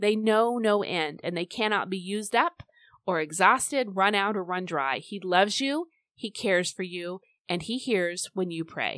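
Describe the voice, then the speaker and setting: Against a quiet background, a woman with an unremarkable speaking voice talks at a medium pitch and moderate pace with ordinary pitch variation, recorded dry and close with no echo. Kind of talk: fervent intercessory prayer spoken aloud to God. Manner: earnest, pleading, heartfelt, direct address to the Lord.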